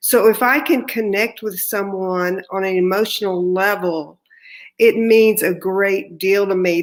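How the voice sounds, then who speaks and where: This is a woman speaking. She has a slight Texan accent. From Texas. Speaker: artist, award recipient. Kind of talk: acceptance speech. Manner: slow.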